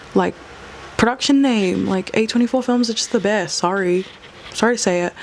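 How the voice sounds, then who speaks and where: A woman speaks at a fairly quick pace, with noticeable background noise behind her. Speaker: film review vlogger. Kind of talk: casual vlog review. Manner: fast; animated.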